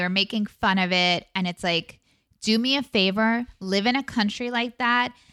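A woman speaks with an American accent and lively intonation. The sound is dry and close, with no echo. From Long Island, New York. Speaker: actor and podcast recapper. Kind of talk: casual chat recapping reality TV.

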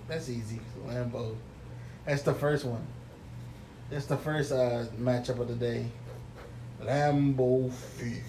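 A man with an American accent, medium pitch and monotone, flat intonation at a very slow pace, with long, frequent pauses, audible room echo and noticeable background noise. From New York. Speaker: podcast co-host. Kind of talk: casual chat.

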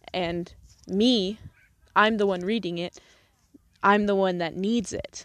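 This woman speaks at a very slow pace with long, frequent pauses. Her pitch is medium, her intonation fairly even, and her tone warm. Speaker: podcast host. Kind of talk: earnest pep talk to listeners, urging them to repeat affirmations. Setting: outdoors on a soccer field at sunset. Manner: warm, emphatic, encouraging and direct.

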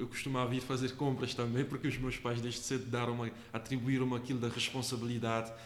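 A man with a Cape Verdean accent at a fairly quick pace, amid audible room echo and noticeable background noise. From Cape Verde, Santo Antão island. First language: Cape Verdean Creole (speaking Portuguese). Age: 20s. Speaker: agronomy student. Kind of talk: interview. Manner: halting, with frequent repetitions.

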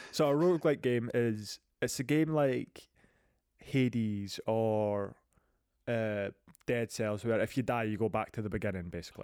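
A man with a Scottish accent speaks at a medium pitch and moderate pace, with ordinary pitch variation. Long, frequent pauses break his speech on a very clean recording with a silent background. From Scotland. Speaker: podcast host. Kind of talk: casual chat about video games.

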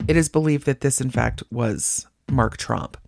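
Music plays behind a woman who speaks in an animated tone. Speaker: true crime podcast host. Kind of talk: true-crime narration with dark humor, scripted storytelling. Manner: wry, animated, conversational; steady, measured storyteller pace.

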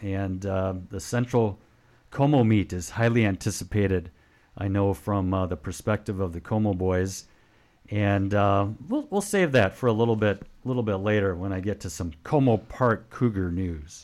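An ordinary speaking voice from a man at a fairly low pitch, a moderate pace and ordinary pitch variation, in a very clean recording with a silent background. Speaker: radio co-host and school sports commentator. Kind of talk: radio DJ patter: relaxed, chatty sports-show banter. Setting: radio studio. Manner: upbeat, conversational, friendly.

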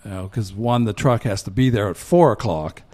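Ordinary pitch variation marks a man's speech in an American accent. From western Pennsylvania (Johnstown, Cambria County). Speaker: community band trombonist and former band president. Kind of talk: casual interview. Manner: halting, many fillers.

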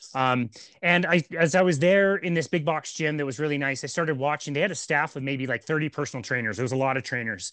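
Energetic in tone, a man speaks at a very fast pace in a fairly high pitch with ordinary pitch variation. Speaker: personal trainer and podcast host. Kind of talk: casual chat.

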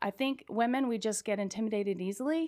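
This woman has a plain, everyday voice with ordinary pitch variation. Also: very clean recording, silent background. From California. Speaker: firearms instructor. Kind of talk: interview.

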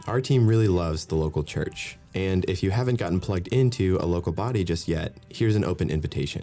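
A man's very deep, low voice at a very fast pace, with hardly any pauses, ordinary pitch variation and music in the background. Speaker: podcast producer. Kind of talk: casual chat.

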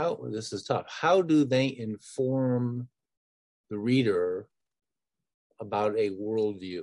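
Speaking with an American accent, a man talks at medium pitch and a very slow pace. He takes long, frequent pauses. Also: ordinary pitch variation. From northern Michigan. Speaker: podcast host. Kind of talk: interview conversation.

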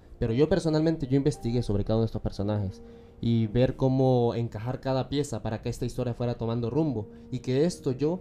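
Music plays behind a man talking at a very fast pace. His voice is medium in pitch, with ordinary pitch variation. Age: 20s. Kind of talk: interview.

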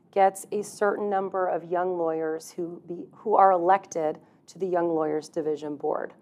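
With an American accent, a woman speaks at a medium pitch in a dark, mellow tone. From Texas. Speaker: employment lawyer. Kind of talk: interview conversation.

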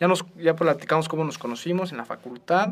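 With a plain, everyday voice, a man at a fairly high pitch talks at a fairly quick pace. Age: 20s. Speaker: law student, youth charity co-president. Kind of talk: casual chat.

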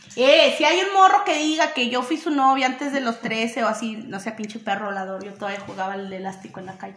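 A woman talks at a fairly quick clip with hardly any pauses, her fairly high pitch making very wide swings. Her loudness jumps a lot, and there is noticeable background noise. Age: 20s. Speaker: podcast co-host. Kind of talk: casual chat.

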